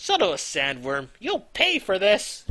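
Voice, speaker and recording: At a fairly slow pace, someone speaks in a put-on character voice with a middle pitch. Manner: cartoonish, theatrical.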